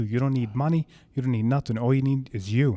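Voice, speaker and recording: A man in a New York accent at a very fast pace, with a dark, mellow tone, fairly even intonation, and a very clean recording with a silent background. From Brooklyn, New York. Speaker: fitness trainer. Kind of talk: casual chat.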